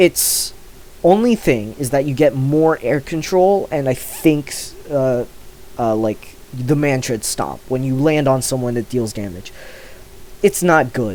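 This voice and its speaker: Noticeable background noise sits under a man's voice. He speaks at a medium pitch and a fairly slow pace, with lively intonation. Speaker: gaming youtuber. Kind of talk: casual commentary while ranking items. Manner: hesitant, many filler words.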